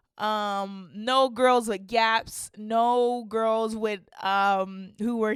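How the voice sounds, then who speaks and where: Very slowly and in a flat monotone, a woman talks at a fairly high pitch on a very clean recording with a silent background. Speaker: podcast host. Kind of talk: personal monologue. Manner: halting, stuttering; casual, filler-heavy.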